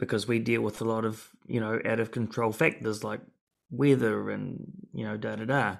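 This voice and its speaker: A man at a moderate pace with a New Zealand accent. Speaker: podcast host. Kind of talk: casual interview conversation.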